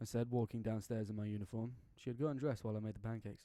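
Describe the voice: Intonation stays fairly even as someone reads plainly aloud.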